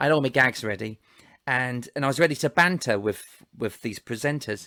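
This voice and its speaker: The sound is dry and close, with no echo. A man talks in a normal speaking voice with ordinary pitch variation. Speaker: ventriloquist. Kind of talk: casual storytelling in conversation.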